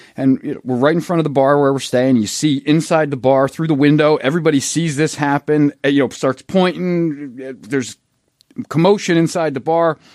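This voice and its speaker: With a Philadelphia accent, a man speaks at a fairly high pitch with ordinary pitch variation, in a dry, close sound with no echo and a very clean recording with a silent background. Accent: Philadelphia American. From Philadelphia, US. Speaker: golf social media photographer. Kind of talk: casual chat. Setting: studio.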